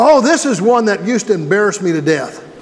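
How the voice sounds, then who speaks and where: Audible room echo and noticeable background noise accompany a man as he talks. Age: 60s. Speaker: pastor. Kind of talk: sermon. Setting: church. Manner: conversational, folksy.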